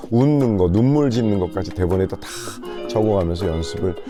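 Over music in the background, a man with a very deep, low pitch talks at a fairly quick pace in a relaxed tone with lively intonation. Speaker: voice actor and TV narrator. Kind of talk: interview answer, promotional testimonial. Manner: relaxed, conversational.

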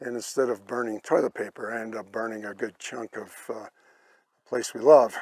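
A man's medium-pitched voice, flat and monotone, at a moderate pace, dry with no echo, over a quiet background. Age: 70s. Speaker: hiker. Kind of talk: interview answer. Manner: hesitant. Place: open country.

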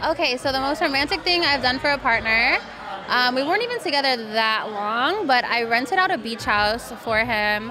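Over noticeable background noise, a woman talks at a moderate pace in a high voice. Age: 20s. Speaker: adult content creator. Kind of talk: casual chat. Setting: live event. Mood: relaxed, casual. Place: studio. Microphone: studio mic.

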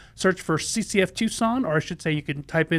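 Fairly quick speech from a man, ordinary in its pitch variation. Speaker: pastor hosting a Bible Q&A show. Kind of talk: livestream program host talk. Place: studio. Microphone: studio mic.

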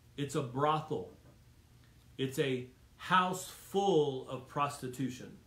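This man talks at a very slow pace in a fairly high pitch with a warm tone and ordinary pitch variation. Long, frequent pauses break up his speech, and room echo is audible. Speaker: preacher. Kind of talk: Bible study teaching turning into a fervent sermon, with prayer. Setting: church Bible study, streamed video. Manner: urgent, emphatic, repeating lines for punch; warm and exhortative, directly addressing the audience. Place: home room. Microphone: phone near.

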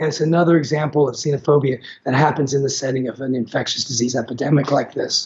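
Very fast, monotone, flat delivery from a man with fairly high pitch. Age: 50s. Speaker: infectious disease physician; guest. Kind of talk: interview. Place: home room. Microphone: video call.

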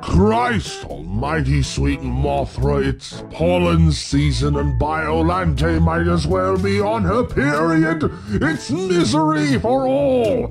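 A man puts on a character voice, very deep and low in pitch, at a very slow pace. Clear music plays in the background. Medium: dub. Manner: dramatic, exasperated.

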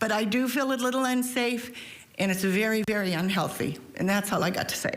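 A woman's fairly high voice at a fairly quick pace, with ordinary pitch variation, very even loudness and audible room echo. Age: 70s. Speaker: public commenter at county meeting. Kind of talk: public comment. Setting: public board meeting.

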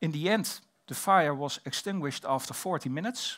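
Speaking at a moderate pace, a man has a Dutch accent and ordinary pitch variation. The background is quiet. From Netherlands. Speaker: fire safety researcher and fire officer. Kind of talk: conference presentation. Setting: stage with audience. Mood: calm, respectful. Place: hall. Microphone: headset.

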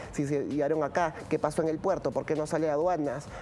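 At a moderate pace, a man talks in a plain, everyday voice pitched fairly high, with light background noise behind him. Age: 30s. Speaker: fashion production specialist; guest. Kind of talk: interview. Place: studio. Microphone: lapel.

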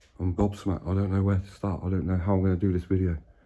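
A man speaks very fast in a very deep, low voice, dark and mellow in tone and somewhat breathy, with monotone, flat intonation. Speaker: urban explorer channel host. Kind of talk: casual vlog chat. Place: home room. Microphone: phone near.

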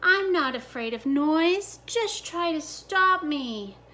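A woman puts on a character voice at an extremely high pitch. She speaks very slowly, with very wide swings in pitch. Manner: sneering, scornful, defiant.

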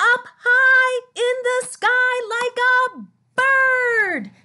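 A woman speaks in an extremely high pitch with a bright, sharp, upbeat and playful tone, her voice raised and projected. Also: quiet background. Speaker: speech-language pathologist. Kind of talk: children's therapy play demo to camera. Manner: upbeat, playful. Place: home room. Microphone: webcam.

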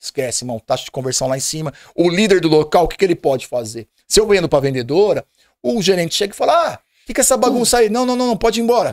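Over a quiet background, a man talks very fast at a high pitch. His tone is animated, with very wide pitch swings. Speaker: podcast guest. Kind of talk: casual chat. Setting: studio. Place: studio. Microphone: studio mic.

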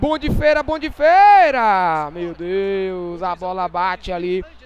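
A very slow, high-pitched man's voice with lively intonation, over noticeable background noise. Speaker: gaming YouTuber. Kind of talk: gameplay commentary.

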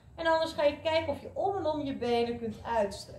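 A woman's speech, with ordinary pitch variation, carries audible room echo. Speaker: fitness instructor. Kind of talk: workout instruction. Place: gym.

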